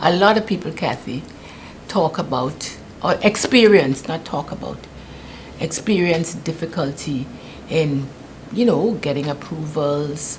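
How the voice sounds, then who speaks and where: Against noticeable background noise, the speaker uses a British Virgin Islands accent, a fairly slow pace and ordinary pitch variation. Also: woman. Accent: British Virgin Islands Caribbean English. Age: 70s. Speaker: political candidate. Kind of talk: interview. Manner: halting.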